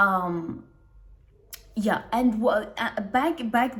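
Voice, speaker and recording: With a non-native accent and ordinary pitch variation, a woman speaks against noticeable background noise. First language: not English. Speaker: self-help video creator. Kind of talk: casual monologue to camera. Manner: halting, many restarts and fillers.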